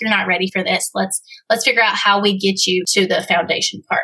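A woman talks in a plain, everyday voice at medium pitch. Her intonation is fairly even. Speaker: copywriter and funnel specialist. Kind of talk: casual chat. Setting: studio.

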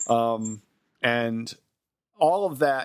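This is a male speaker. His voice rises and falls within a normal range. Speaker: podcast host. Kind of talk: casual chat.

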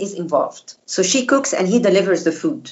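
A woman with an Arabic accent, lively intonation and a moderate pace. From Egypt. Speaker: former diplomat and food blogger. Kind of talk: interview. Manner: halting, many fillers.

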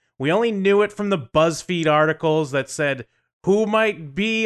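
A man talks in an animated tone with very wide pitch swings. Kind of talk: casual banter podcast chat. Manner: animated, joking, profane.

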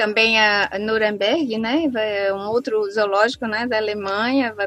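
Noticeable background noise sits behind the speech. The pace is fairly slow and the intonation fairly even. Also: woman. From Brazil, Southeast interior. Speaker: biologist and researcher. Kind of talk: interview. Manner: halting.

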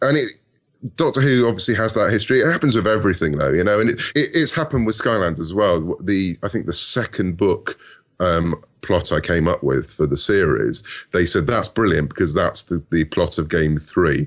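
A man with a British accent talks at a fairly quick pace in a fairly low pitch with very wide pitch swings. His loudness stays very even, and the background is quiet. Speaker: author. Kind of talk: casual interview.

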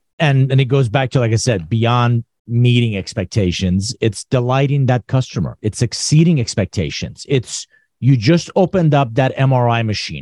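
Against a quiet background, a man with a dark, mellow, somewhat breathy tone speaks at a moderate pace and medium pitch, using lively intonation with hardly any pauses, in a dry, close sound with no echo. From Iran. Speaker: business author and consultant. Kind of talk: casual chat.

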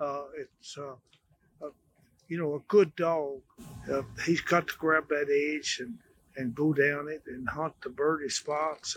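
Fairly slowly, a man talks in a fairly high voice. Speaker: amateur field trial dog breeder. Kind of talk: storytelling interview on stage. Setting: live at a hunting expo. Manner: halting, repeats words.

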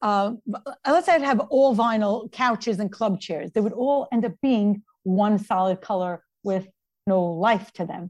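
Speaking at a fairly slow pace, a woman with a New York accent is heard over a quiet background. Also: medium pitch for a woman, ordinary pitch variation. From Brooklyn, New York. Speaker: interior designer. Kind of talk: interview.

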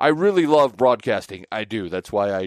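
A man's normal speaking voice at medium pitch and moderate pace, with an American accent, dry and close with no echo, on a very clean recording over a silent background. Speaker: podcast host and sportscaster. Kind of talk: interview conversation.

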